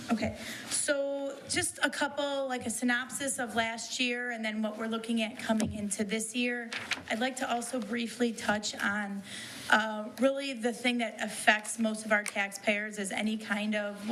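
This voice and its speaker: There is audible room echo and noticeable background noise. A woman with a fairly high pitch speaks at a moderate pace with fairly even intonation. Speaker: township assessor. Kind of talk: departmental report. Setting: township board meeting room. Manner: loud.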